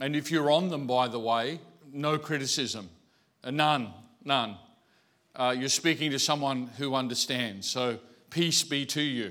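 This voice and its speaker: A man with an Australian accent and a medium pitch speaks at a fairly slow pace in a bright, sharp tone, with ordinary pitch variation and long, frequent pauses, on a very clean recording with a silent background. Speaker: pastor. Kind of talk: sermon. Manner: hesitant, filler-heavy.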